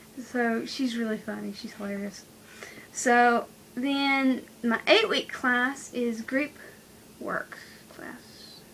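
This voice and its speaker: A woman's high-pitched, very slow speech, with long, frequent pauses, big swings in loudness and noticeable background noise. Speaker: vlogger, college student. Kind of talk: casual vlog.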